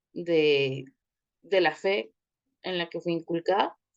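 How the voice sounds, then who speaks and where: A woman speaks with a Guatemalan accent at a fairly low pitch. Her pace is very slow. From Guatemala City. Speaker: communicator, thanatology course participant. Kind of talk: personal introduction in online class.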